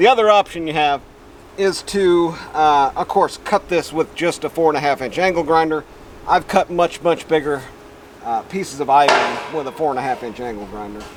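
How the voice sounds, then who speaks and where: A man with a fairly high pitch and lively intonation talks at a moderate pace against noticeable background noise. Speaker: DIY metalworking video host. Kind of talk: tutorial. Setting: outdoors. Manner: loud.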